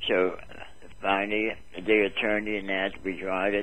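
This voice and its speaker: The pace is moderate. A man talks at a fairly low pitch. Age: 80s+. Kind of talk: interview answer.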